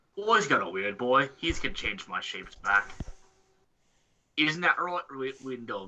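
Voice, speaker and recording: Using a put-on character voice, a man talks at a moderate pace and medium pitch, with long, frequent pauses. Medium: actual play. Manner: brash, bossy, ungrammatical.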